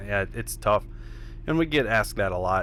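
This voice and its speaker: A man speaks in a fairly low pitch. It is a plain, everyday voice. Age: 30s. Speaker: professional ATV freestyle rider. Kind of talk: casual interview chat.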